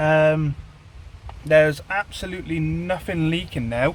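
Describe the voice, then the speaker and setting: A man's fairly high-pitched voice comes through noticeable background noise. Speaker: car vlogger. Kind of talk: casual vlog talk. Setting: in a car.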